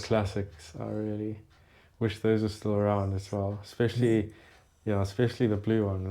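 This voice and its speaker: A man's fairly low, dark, mellow voice at a moderate pace, monotone and flat in intonation, on a very clean recording with a silent background. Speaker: motorcycle channel host. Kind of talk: casual interview with family member.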